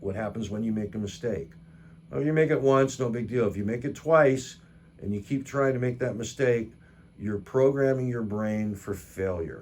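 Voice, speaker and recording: A man's plain, everyday voice, fairly low in pitch, at a moderate pace with ordinary pitch variation. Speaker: guitar teacher. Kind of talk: tutorial.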